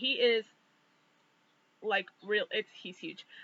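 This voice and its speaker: The woman speaks at a fairly high pitch. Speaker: vlogger. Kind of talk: personal vlog monologue. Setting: outdoors. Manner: hesitant, many fillers.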